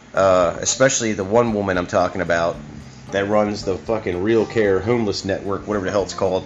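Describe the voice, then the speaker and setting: An ordinary speaking voice, this man talks at a fairly quick pace in a fairly low pitch. His intonation is fairly even. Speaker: podcast host. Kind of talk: casual rant, solo podcast monologue. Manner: informal, profane, opinionated.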